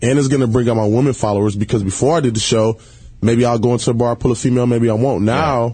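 Talking at a very fast pace, this man has an American accent, a medium pitch, a dark, mellow and somewhat breathy tone, very even loudness and fairly even intonation. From Detroit, Michigan (west side). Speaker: reality TV personality. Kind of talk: casual chat. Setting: studio.

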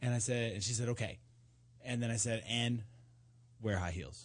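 Over a quiet background, a man with medium pitch and vocal fry speaks with ordinary pitch variation. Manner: wisecracking, playful and teasing, jumping in over others and riffing on each line.

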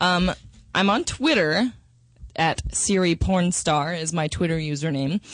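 A woman with an American accent and an ordinary speaking voice talks at a moderate pace in a fairly low pitch, with ordinary pitch variation against a quiet background. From Minnesota and Texas, US. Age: 20s. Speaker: adult film performer. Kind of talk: interview.

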